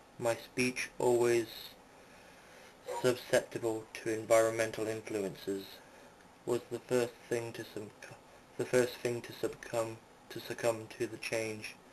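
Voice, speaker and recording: Fairly slow delivery with monotone, flat intonation, big swings in loudness and long, frequent pauses. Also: man, medium pitch for a man. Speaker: audiobook reader. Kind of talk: amateur story reading. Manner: stumbling, with self-corrections.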